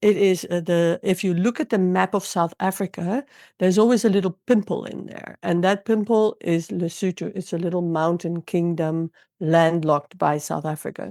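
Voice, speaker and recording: A woman speaks with a Dutch accent. The sound is dry and close with no echo, in a very clean recording with a silent background. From Netherlands. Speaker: intuitive coach and healer. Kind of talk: interview.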